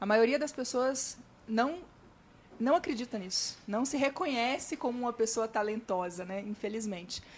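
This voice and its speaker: This woman has an unremarkable speaking voice pitched fairly high. Her intonation is lively. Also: moderate pace. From Minas Gerais, Brazil (Vale do Jequitinhonha). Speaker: digital marketing influencer and speaker. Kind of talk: podcast interview.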